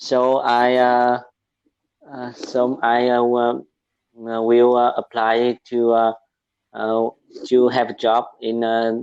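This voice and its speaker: In a Vietnamese accent, a man speaks at a medium pitch with monotone, flat intonation. His pace is very slow, with long, frequent pauses. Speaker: medical student, English learner. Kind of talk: casual chat. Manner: halting, many fillers.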